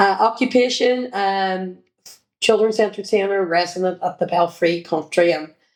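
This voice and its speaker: At a moderate pace, a woman with a Northern Irish accent speaks at medium pitch with ordinary pitch variation. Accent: Derry Northern Irish. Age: 50s. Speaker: children's entertainer and former sports coach. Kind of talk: interview reminiscence.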